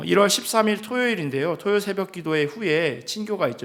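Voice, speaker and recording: With lively intonation and at a moderate pace, a man's voice carries audible room echo. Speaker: pastor. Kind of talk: church announcements. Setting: church. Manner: hesitant fillers.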